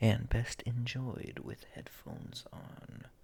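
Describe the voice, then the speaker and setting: The speech is whispered. It moves at a very slow pace. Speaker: ASMR gaming creator. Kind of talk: ASMR soft-spoken explanation. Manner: soft-spoken, whispered.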